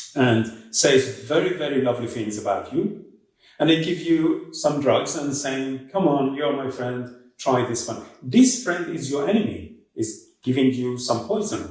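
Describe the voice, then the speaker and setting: A man with a non-native accent speaks fairly slowly at a fairly high pitch, his intonation lively and the room echo audible. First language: not English. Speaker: author discussing own book. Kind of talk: interview answer.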